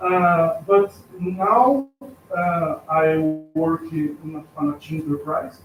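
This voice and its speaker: A man speaks with a Brazilian accent. His pitch is fairly high. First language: Portuguese. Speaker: artist and art teacher. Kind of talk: self-introduction at event. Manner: halting.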